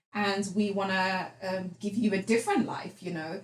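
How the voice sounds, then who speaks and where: A woman at medium pitch with a British accent, somewhat breathy. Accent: British-sounding English. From England, raised from age 2 to 11, then Netherlands. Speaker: entrepreneur. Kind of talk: podcast interview. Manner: animated.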